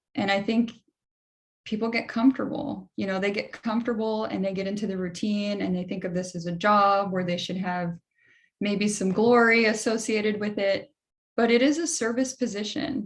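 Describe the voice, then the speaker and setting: A somewhat breathy woman speaks at a moderate pace in a medium pitch with ordinary pitch variation. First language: Spanish. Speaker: political candidate, panelist. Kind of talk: panel discussion. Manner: animated.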